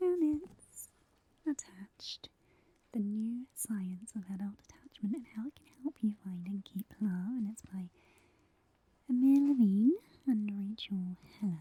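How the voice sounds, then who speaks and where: The speech runs at a fairly slow pace, broken by long, frequent pauses. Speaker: ASMR creator playing a librarian. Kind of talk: ASMR library roleplay, soft-spoken. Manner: soft-spoken, whispering.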